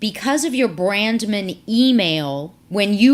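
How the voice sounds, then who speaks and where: A woman's medium-pitched voice, a normal speaking voice, with lively intonation and a fairly slow pace, on a very clean recording with a silent background. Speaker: professor. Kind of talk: tutorial.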